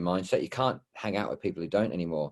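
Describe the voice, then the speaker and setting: The speaker talks at a very fast pace in a strong Australian accent, with ordinary pitch variation. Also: man. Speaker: supported living property investor. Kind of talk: podcast interview.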